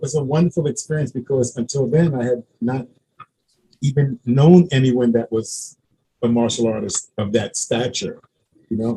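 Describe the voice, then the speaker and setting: A man with an American accent speaks at a moderate pace in a medium pitch, his dark, mellow tone somewhat breathy, with ordinary pitch variation and big swings in loudness. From Brooklyn, New York. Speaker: martial arts grandmaster. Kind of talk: interview.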